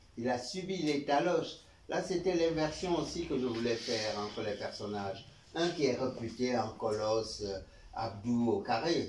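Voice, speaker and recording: Audible room echo and noticeable background noise fill the recording. A man with a medium pitch speaks at a fairly slow pace with lively intonation. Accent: Cameroonian. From Cameroon. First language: Beti (speaking French). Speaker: author. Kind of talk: book talk Q&A. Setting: bookshop event with audience.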